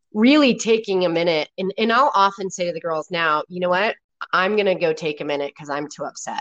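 Recorded dry and close with no echo, a normal speaking voice moves at a fairly quick pace with lively intonation. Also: woman, medium pitch for a woman. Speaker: guest, working mother. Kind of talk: casual conversational interview. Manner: relaxed, chatty, humorous.

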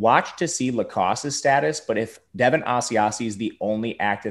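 A man's ordinary speaking voice at medium pitch with ordinary pitch variation, in a very clean recording with a silent background. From Wisconsin, Milwaukee. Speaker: fantasy sports analyst. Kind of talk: casual chat.

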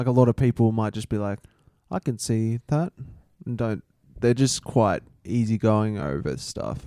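Taking long, frequent pauses, a man with an Australian accent talks at a moderate pace in a medium pitch with ordinary pitch variation and a dark, mellow tone, the sound dry and close with no echo. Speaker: podcast co-host. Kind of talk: casual chat.

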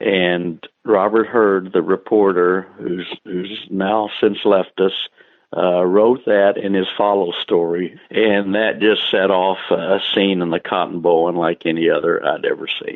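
A man speaks with a Texan accent at a fairly low pitch. His intonation is monotone and flat, and his pace is fairly slow. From Texas, Taylor. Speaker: sports columnist. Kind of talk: interview.

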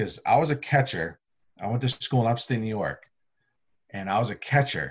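A somewhat breathy man talks at a moderate pace, medium in pitch with ordinary pitch variation. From central Massachusetts. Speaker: college baseball umpire. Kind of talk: casual chat.

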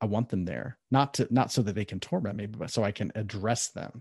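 A man with a Midwestern accent speaks at a moderate pace in a fairly low pitch with a dark, mellow tone and ordinary pitch variation. The recording sounds dry and close with no echo, and the background is quiet. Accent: General American (Midwest). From US Midwest (Columbus, Ohio). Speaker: author and life coach. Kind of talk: interview conversation.

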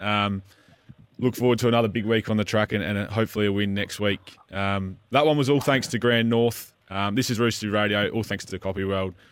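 Here a man speaks with an Australian accent at a fairly low pitch. His pace is fairly quick. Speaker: club radio co-host. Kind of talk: live radio show chat and interview. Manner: upbeat, chatty, enthusiastic.

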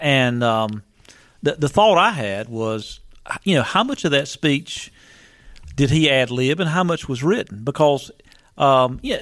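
This man has an unremarkable speaking voice, pitched medium, and he talks at a fairly slow pace. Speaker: radio co-host. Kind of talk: political talk radio. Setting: radio studio.

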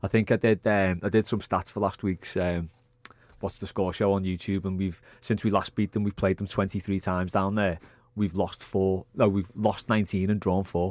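A man at a moderate pace, fairly low in pitch with monotone, flat intonation, in a dry, close sound with no echo. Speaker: football fan pundit. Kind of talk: casual sports chat.

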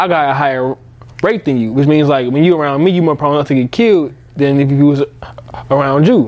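With noticeable background noise behind him, a man speaks at a fairly high pitch and fairly quick pace, his loudness very even, broken by long, frequent pauses. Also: ordinary pitch variation. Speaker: podcast host. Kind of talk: casual chat. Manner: casual, rambling, profane.

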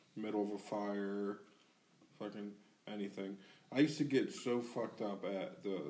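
A man's dark, mellow, fairly low-pitched voice with audible room echo. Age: 30s. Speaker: podcast co-host. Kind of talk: casual chat.

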